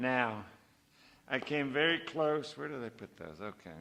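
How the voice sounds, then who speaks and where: Against a quiet background, a man speaks at a moderate pace in a bright, sharp tone with ordinary pitch variation. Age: 70s. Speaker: novelist reading at a literary event. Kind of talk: reading aloud with commentary.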